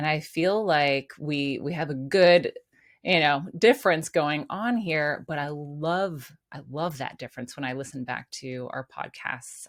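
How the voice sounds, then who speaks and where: A woman speaks at a fairly slow pace with a very deep, low pitch and ordinary pitch variation. Her loudness swings widely in a very clean recording with a silent background. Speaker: podcast host and life coach. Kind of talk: casual chat.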